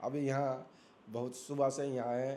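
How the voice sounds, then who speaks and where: Here is a man with a fairly high pitch. He has a plain, everyday voice. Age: 60s. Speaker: elderly devotee and student of scripture. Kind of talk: interview.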